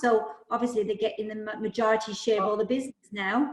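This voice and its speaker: A woman speaks with a Welsh accent at a fairly quick pace. Her intonation stays fairly even. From Wales, Newport. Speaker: property management agency owner. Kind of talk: casual chat.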